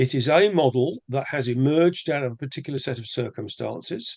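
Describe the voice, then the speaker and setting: An English accent in a man's voice of medium pitch. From England. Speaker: rotary club leader, webinar presenter. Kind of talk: casual chat; webinar presentation.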